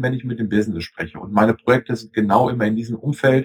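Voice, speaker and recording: A man speaks somewhat breathily at a medium pitch, the sound dry and close with no echo. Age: 40s. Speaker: IT consultant. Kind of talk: interview.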